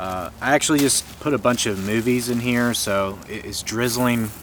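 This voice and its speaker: Noticeable background noise sits behind speech with an American accent, delivered at a moderate pace with ordinary pitch variation. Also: man. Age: 30s. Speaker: movie collector vlogger. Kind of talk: casual vlog. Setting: outdoors.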